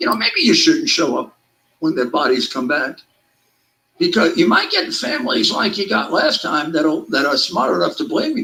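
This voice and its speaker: Using a raised, projected voice, a man with a high pitch speaks at a moderate pace with very wide pitch swings. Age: 70s. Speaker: political talk show host. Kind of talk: casual political talk show banter. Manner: animated.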